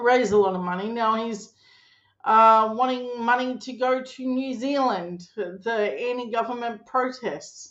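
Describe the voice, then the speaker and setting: A woman speaks with an Australian accent. Her pitch is fairly high and her pace fairly slow. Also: ordinary pitch variation. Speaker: political commentator. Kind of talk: casual political commentary. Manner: loud; animated.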